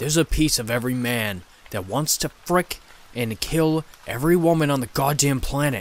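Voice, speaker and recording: A man's put-on character voice, growling and hissing, fairly high in pitch at a moderate pace. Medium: read story. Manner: roaring, growling, seething, contemptuous.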